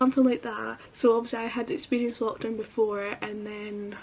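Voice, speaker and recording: A woman speaks with a Scottish accent. Noticeable background noise can be heard. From Scotland, Edinburgh area. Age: 20s. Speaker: lifestyle vlogger, university student. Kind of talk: casual chat. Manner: chatty, filler-heavy.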